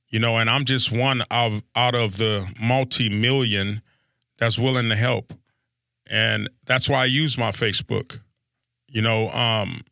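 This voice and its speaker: On a very clean recording with a silent background and a dry, close sound with no echo, a man with an American accent speaks at a fairly slow pace in a bright, sharp tone, with medium pitch, fairly even intonation, very even loudness and vocal fry. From South Central Los Angeles. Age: 50s. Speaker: recovering addict, podcast guest. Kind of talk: recovery testimony interview. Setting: studio.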